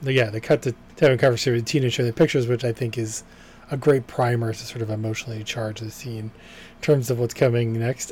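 In an American accent, a man talks at a very fast pace, his medium-pitched voice somewhat breathy and his intonation fairly even. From Boston, US. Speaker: podcast co-host reviewing TV episodes. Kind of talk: casual chat.

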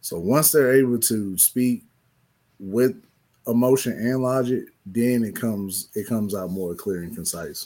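His tone is dark and mellow, a man at medium pitch speaking at a fairly slow pace. Pitch varies in an ordinary way, and the recording is very clean with a silent background. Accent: American. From East St. Louis, US Midwest. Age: 30s. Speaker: high school teacher. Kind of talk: casual conversation on talk show.

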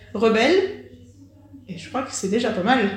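The speech moves at a moderate pace. Noticeable background noise and audible room echo surround it. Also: woman. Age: 20s. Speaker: podcast host. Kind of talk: scripted narration; interview.

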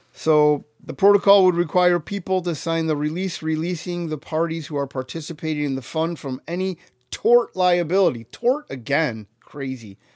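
Speaking at a moderate pace with hardly any pauses, a man has a high pitch and ordinary pitch variation. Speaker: podcast co-host. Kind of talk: casual chat. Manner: joking, sarcastic.

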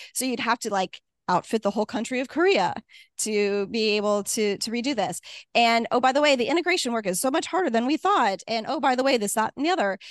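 A woman with a US Midwestern accent talks very fast, her pitch fairly high and her intonation lively. The sound is dry and close with no echo, over a quiet background. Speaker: retired air force officer and tech executive. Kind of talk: talk with Q&A.

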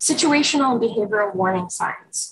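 Lively intonation from a woman at medium pitch, somewhat breathy, at a moderate pace. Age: 40s. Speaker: clinical social worker and suicide prevention trainer. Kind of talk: training webinar presentation. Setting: Zoom webinar. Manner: animated, uses hands.

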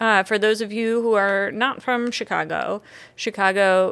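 Over a silent background in a very clean recording, a woman uses an ordinary speaking voice at a medium pitch with ordinary pitch variation. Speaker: podcast host and coffee company operations manager. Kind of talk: casual chat.

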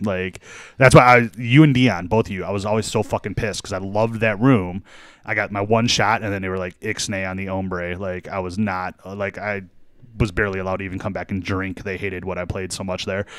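In a very clean recording with a silent background, a man with a fairly low pitch talks at a fairly quick pace with fairly even intonation in a plain, everyday voice. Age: 40s. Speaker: DJ. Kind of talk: casual chat.

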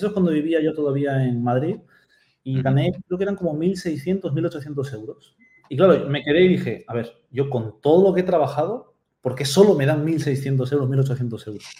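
Somewhat breathy, a man with a fairly high pitch and a dark, mellow tone speaks at a moderate pace with ordinary pitch variation. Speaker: Amazon seller and mentor. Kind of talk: interview. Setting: video call.

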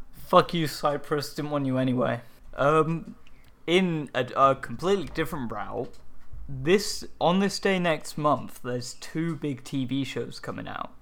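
With an English accent, the speaker goes at a fairly slow pace using ordinary pitch variation. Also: man, fairly high pitch for a man. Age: 20s. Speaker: podcast co-host. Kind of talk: casual chat.

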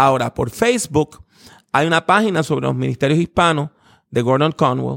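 This man has a plain, everyday voice, pitched fairly high, with very even loudness and lively intonation. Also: moderate pace, dry, close sound with no echo. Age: 50s. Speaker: preacher and theology professor. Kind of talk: interview.

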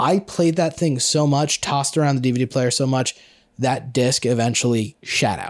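This man has a normal speaking voice at medium pitch, talking at a moderate pace with ordinary pitch variation on a very clean recording with a silent background. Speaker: film expert. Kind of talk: casual chat.

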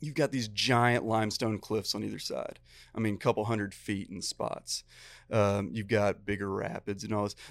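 A man with an American accent uses a normal speaking voice, fairly low in pitch with fairly even intonation, on a very clean recording with a silent background. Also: moderate pace. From Texas. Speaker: fly fishing guide and teacher. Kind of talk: casual chat.

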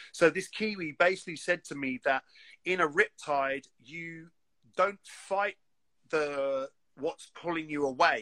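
With a London accent, a man with a bright, sharp tone and fairly high pitch speaks with ordinary pitch variation and long, frequent pauses. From London, England. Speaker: graffiti artist. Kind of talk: casual chat. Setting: video call.

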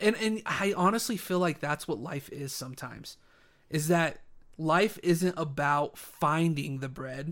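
A man with a normal speaking voice, fairly high-pitched with ordinary pitch variation, at a fairly slow pace on a very clean recording with a silent background. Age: 20s. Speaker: religious podcast co-host. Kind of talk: casual chat.

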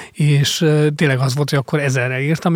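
Somewhat breathy and fairly even in intonation, the voice moves at a very fast pace. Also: man. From Hungary, Mór (Fejér county). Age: 40s. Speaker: investigative journalist and author. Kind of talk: interview. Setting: studio. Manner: halting, many fillers.

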